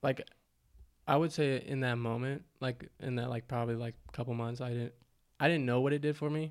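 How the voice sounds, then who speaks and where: A man talks at a fairly quick pace with fairly even intonation. He has a normal speaking voice at a medium pitch. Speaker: musician. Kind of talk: casual chat.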